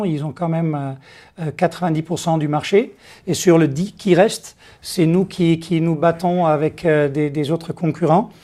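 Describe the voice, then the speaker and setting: A fairly high-pitched man with a Dutch accent, fairly even intonation and a fairly slow pace. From Netherlands. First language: Dutch (speaking French). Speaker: company executive. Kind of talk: interview. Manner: halting, many hesitations.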